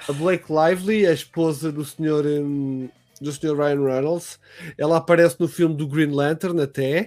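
A man with a European Portuguese accent, fairly high-pitched and fairly even in intonation, at a fairly slow pace, on a very clean recording with a silent background. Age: 30s. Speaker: podcast host and streamer. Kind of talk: casual chat.

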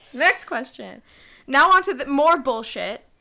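A woman speaks in a raised, projected voice that is high-pitched, with a bright, sharp tone and lively intonation. The recording is very clean, with a silent background. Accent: American. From New York City, Queens. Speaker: podcast co-host. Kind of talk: casual chat.

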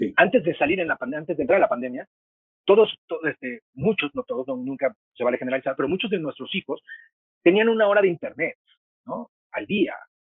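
A man's very fast, high-pitched voice with very wide pitch swings. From Mexico. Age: 50s. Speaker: film critic and university teacher. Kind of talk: interview.

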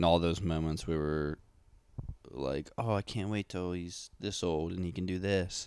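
A man's very deep, low-pitched voice at a fairly slow pace. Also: ordinary pitch variation. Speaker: podcast co-host. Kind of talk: casual chat. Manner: soft-spoken.

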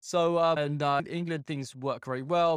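Speaking fairly quickly, a man talks with an English accent. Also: dry, close sound with no echo. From UK. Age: 40s. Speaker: life coach and juggler. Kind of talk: casual chat.

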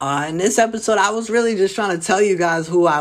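In a New Jersey accent, a man speaks in a high pitch with ordinary pitch variation. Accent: New Jersey urban American. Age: 20s. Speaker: comedian. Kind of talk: casual monologue. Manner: animated.

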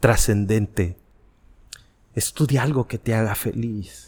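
Speaking fairly slowly, a man is heard in a dry, close sound with no echo. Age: 40s. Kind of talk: podcast interview.

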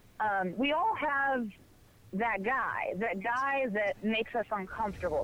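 Noticeable background noise behind a woman with a fairly high pitch and ordinary pitch variation. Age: 20s. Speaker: comedian. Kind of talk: casual chat.

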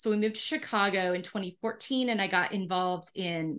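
A woman talks at a fairly quick pace in an unremarkable speaking voice, medium in pitch with ordinary pitch variation. The background is quiet. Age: 50s. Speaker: podcast host. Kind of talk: interview.

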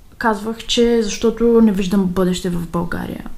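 At a fairly slow pace, a woman speaks with fairly even intonation and a fairly high pitch, with audible room echo. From Bulgaria. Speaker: emigrant interviewee. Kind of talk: recorded interview answers.

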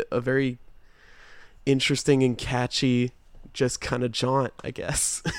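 A man's flat, monotone voice at a fairly slow pace, on a very clean recording with a silent background. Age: 20s. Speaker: music podcast co-host. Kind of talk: casual chat.

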